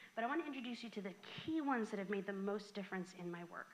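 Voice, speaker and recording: This woman speaks with an American accent and a fairly high pitch. Her intonation is lively. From Southern California. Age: 40s. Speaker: floral design coach. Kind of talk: workshop presentation. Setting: garden club meeting with live audience. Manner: animated.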